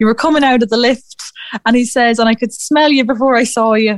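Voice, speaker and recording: A woman with an Irish Midlands accent talks at a fairly quick pace in a high pitch with fairly even intonation. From Ireland, Athlone. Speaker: youth fashion competition PR head. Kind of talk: radio interview.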